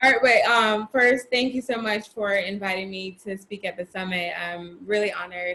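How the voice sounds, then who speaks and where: A woman with an American accent speaks at a moderate pace in an unremarkable speaking voice, medium in pitch with ordinary pitch variation, hardly pausing while her loudness swings widely. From Florida. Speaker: personal trainer. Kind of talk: interview.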